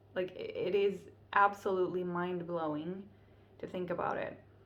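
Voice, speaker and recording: There is audible room echo as a woman with a medium-pitched voice speaks at a fairly slow pace. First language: Finnish. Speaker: vlogger. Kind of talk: casual vlog monologue.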